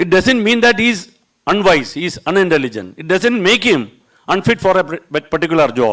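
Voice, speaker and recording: Speaking with a Keralan accent at a fairly quick pace, a man uses a high pitch with very wide pitch swings. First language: Malayalam. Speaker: border security officer. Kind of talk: panel talk. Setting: seminar hall with audience.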